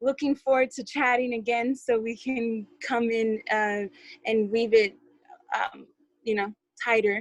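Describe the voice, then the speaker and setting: A woman's fairly high voice, fairly slow, with long, frequent pauses and a dry, close sound with no echo. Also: fairly even intonation. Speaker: community call participant. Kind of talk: group call report-back. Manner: halting, many fillers.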